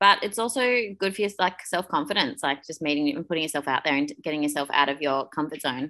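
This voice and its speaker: At a very fast pace, a woman with an Australian accent speaks with very deep, low pitch, a bright, sharp tone and ordinary pitch variation. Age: 30s. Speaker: podcast co-host, personal trainer. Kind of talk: casual chat.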